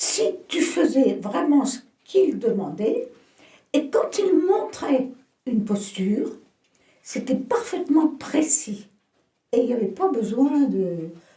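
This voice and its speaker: Very wide pitch swings mark a woman's dark, mellow tone as she speaks at a very slow pace. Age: 80s+. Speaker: yoga teacher. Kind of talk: interview answer.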